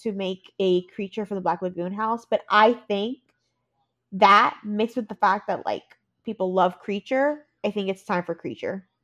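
An ordinary speaking voice, fairly slow, with ordinary pitch variation and a dry, close sound with no echo. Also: woman. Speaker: podcast host. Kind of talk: casual chat. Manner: excitable.

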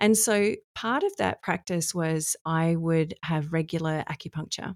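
A woman's fairly low, fairly slow voice with an Australian accent and ordinary pitch variation, in a dry, close sound with no echo on a very clean recording with a silent background. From Australia, Adelaide. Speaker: human design coach. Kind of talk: podcast interview.

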